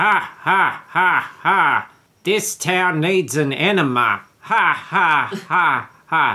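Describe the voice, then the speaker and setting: A man's put-on character voice, high-pitched and sinister, with cackling, a very slow pace, very even loudness and ordinary pitch variation. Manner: sinister, cackling.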